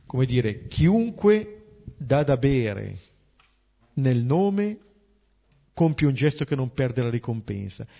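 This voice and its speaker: At a very slow pace, a man with a medium pitch and a somewhat breathy voice makes very wide pitch swings. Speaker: priest leading a Bible study. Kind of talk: Bible commentary.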